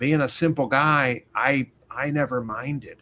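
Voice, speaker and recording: A man's voice at medium pitch. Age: 60s. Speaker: chef and navy veteran. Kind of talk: interview. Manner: animated.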